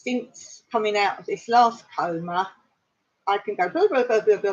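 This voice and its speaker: At a moderate pace, a woman with an English accent talks in a medium-pitched voice with ordinary pitch variation. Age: 60s. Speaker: vlogger. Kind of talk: casual chat. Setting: livestream. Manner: halting.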